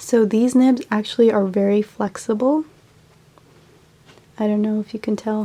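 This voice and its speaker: Noticeable background noise sits behind a woman of medium pitch who speaks fairly slowly with fairly even intonation. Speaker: artist. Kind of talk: casual talk to camera. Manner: casual, hesitant with fillers.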